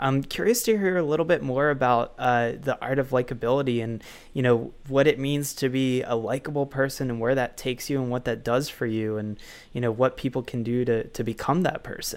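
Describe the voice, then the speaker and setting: With an ordinary speaking voice, a man talks at a fairly quick pace using fairly even intonation. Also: medium pitch for a man. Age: 20s. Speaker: podcast host and author. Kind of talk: interview.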